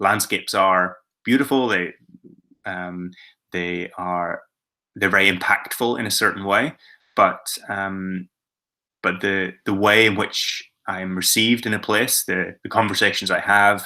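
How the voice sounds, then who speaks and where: In a Northern Irish accent, a man with a bright, sharp tone and fairly low pitch speaks at a fairly slow pace with long, frequent pauses and fairly even intonation, on a very clean recording with a silent background. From Northern Ireland. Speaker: adventurer, filmmaker and author. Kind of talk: presentation to schoolchildren about his travels. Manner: hesitant, many filler words.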